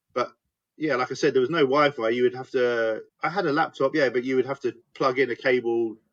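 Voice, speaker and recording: A man with an English accent, medium pitch, ordinary pitch variation and a fairly quick pace. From England, Hertfordshire / North London. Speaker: business owner. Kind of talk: podcast interview.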